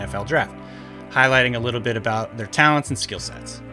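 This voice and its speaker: Over clear background music, a man at a medium pitch talks at a very fast pace. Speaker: football analyst. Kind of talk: sports analysis talk to camera.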